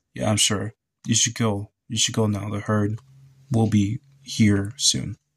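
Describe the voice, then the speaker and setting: A man puts on a robotic character voice, fairly low in pitch and at a fairly slow pace. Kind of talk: serious, urgent. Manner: robotic, flat.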